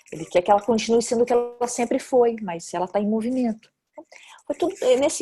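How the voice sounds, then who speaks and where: In a Brazilian accent, the voice is somewhat breathy with a dark, mellow tone and moves at a fairly quick pace. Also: woman. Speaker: actress and film director. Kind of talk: interview. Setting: video call. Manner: hesitant, many fillers.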